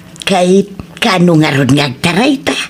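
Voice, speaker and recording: Over clear background noise, a woman does a put-on character voice, fairly low-pitched and lively in intonation, at a moderate pace. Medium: audio drama.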